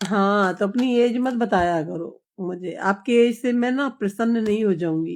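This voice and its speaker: A woman's unremarkable speaking voice, medium in pitch with ordinary pitch variation, on a very clean recording with a silent background. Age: 60s. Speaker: live streamer. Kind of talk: casual live chat with viewers. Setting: live stream.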